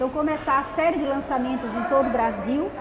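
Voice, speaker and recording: Noticeable background noise and audible room echo surround a woman speaking. Her pitch is high and her pace moderate. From Alagoas, northeastern Brazil (Taquarana). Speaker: journalist and author. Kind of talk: TV interview.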